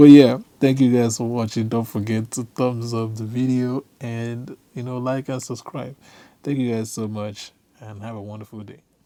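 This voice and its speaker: In an African accent, a man with a dark, mellow tone speaks in a flat monotone, with big swings in loudness. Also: medium pitch for a man, moderate pace. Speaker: tech video creator. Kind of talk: tutorial. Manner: casual.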